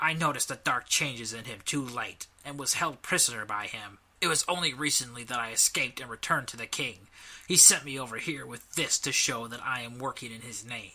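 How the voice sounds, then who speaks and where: A man puts on a character voice at a medium pitch, with ordinary pitch variation. He speaks at a fairly quick pace, and his loudness swings widely. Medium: read story. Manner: measured, formal.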